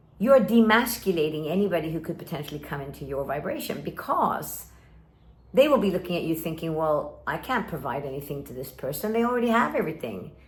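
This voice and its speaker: A woman talks at a very fast pace with very wide pitch swings and big swings in loudness, with noticeable background noise and audible room echo. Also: fairly low pitch for a woman. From Sweden and Kuwait (American school). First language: Swedish. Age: 50s. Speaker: life coach. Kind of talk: direct-to-camera talk.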